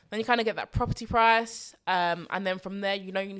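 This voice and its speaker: In a very clean recording with a silent background, a woman with a London accent speaks in an animated tone at a medium pitch with ordinary pitch variation. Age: 20s. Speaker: personal finance podcast host. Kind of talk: solo podcast Q&A.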